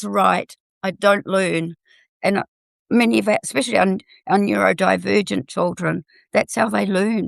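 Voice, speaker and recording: The speaker has a New Zealand accent. The background is quiet. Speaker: health and food technology educator. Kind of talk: panel discussion.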